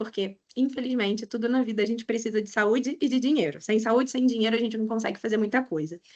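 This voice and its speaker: The speaker talks at a very fast pace with hardly any pauses, in a strong Rio de Janeiro accent. Pitch varies in an ordinary way. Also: woman, fairly high pitch for a woman. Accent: strong carioca (Rio de Janeiro). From Brazil, Rio de Janeiro. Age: 30s. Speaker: economist and financial educator. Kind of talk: webinar lecture. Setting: online webinar.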